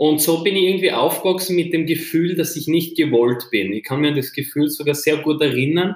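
A man with an ordinary speaking voice talks fairly quickly at a fairly high pitch, with ordinary pitch variation and hardly any pauses. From Austria, Styria. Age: 20s. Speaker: entrepreneur. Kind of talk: interview.

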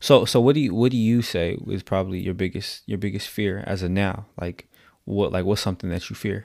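A man speaks at a fairly quick pace, with fairly low pitch and ordinary pitch variation. The recording is very clean, with a silent background. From San Diego, California. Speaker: podcast co-host, life coach and former DJ. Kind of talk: casual chat.

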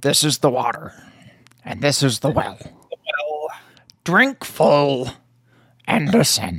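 A raspy put-on character voice at low-to-middle pitch, with a fairly slow pace and long, frequent pauses. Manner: wise, cryptic, inverted speech.

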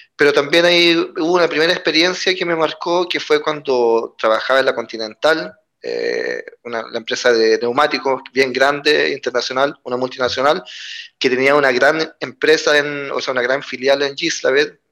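A fairly high-pitched man's voice with a bright, sharp tone, a moderate pace and ordinary pitch variation. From Chile. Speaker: trade unionist. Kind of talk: interview conversation.

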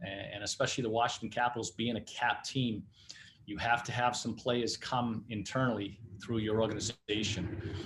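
With a strong Boston accent, a man talks at a moderate pace and medium pitch, sounding somewhat breathy. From Massachusetts, New Bedford area. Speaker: hockey head coach. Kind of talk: interview.

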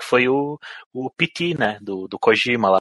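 A man's plain, everyday voice, medium in pitch, with ordinary pitch variation. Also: dry, close sound with no echo. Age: 30s. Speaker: podcast co-host. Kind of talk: casual chat.

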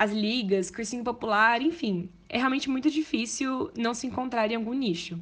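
With a quiet background, a woman talks at a fairly quick pace. She has an ordinary speaking voice with ordinary pitch variation. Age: 20s. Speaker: medical student. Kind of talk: testimony.

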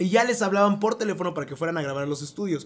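Here a man talks at a very fast pace. His voice is high-pitched, with lively intonation. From Mexico. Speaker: podcast host and voice actor. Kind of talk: casual chat.

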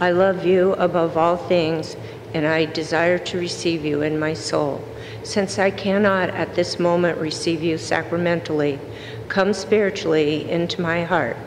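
Noticeable background noise behind a woman's fairly low voice, fairly slow and with fairly even intonation. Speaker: lector. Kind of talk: scripture reading. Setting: church.

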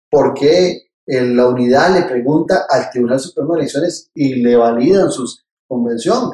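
With a Costa Rican accent, a man speaks slowly in a dark, mellow tone, his fairly high pitch showing ordinary variation. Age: 50s. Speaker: political scientist and presidential pre-candidate. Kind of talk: interview.

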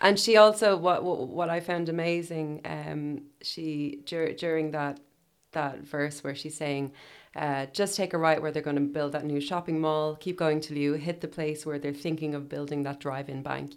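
A woman's very deep, low voice in an Irish accent, at a moderate pace with fairly even intonation. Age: 30s. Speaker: podcast host. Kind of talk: casual chat.

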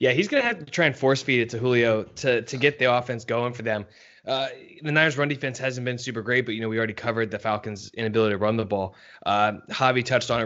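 Speaking at a medium pitch, the man rattles along at a very fast pace. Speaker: podcast co-host and sports writer. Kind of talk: casual sports podcast chat. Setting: podcast recording.

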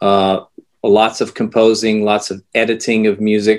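A man with an American accent. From United States. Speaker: composer and music educator. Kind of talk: interview. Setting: video call.

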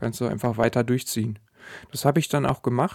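On a very clean recording with a silent background and a dry, close sound with no echo, a man with an ordinary speaking voice talks at a medium pitch with ordinary pitch variation. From Sauerland, Germany. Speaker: podcast host and weight-loss coach. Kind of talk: solo podcast monologue.

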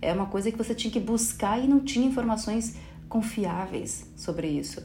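With lively intonation, a woman speaks at a medium pitch amid audible room echo. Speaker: podcast host. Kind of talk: solo podcast monologue. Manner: animated.

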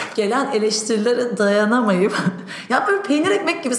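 Noticeable background noise and audible room echo fill the clip. A woman talks at a fairly quick pace. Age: 30s. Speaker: entrepreneur. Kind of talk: interview. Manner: hesitant with fillers.

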